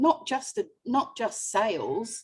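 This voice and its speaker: A woman speaks in a high voice, her pitch swinging very widely. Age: 60s. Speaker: independent sales consultant. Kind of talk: interview answer.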